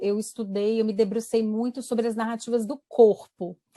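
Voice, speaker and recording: A woman's fairly high voice in a dry, close sound with no echo. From Brazil, Espírito Santo. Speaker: university professor. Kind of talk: interview.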